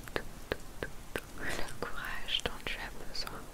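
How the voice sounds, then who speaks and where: Speaking at a very slow pace, a woman delivers her words. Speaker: ASMR creator. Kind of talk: ASMR positive affirmations. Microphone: studio mic.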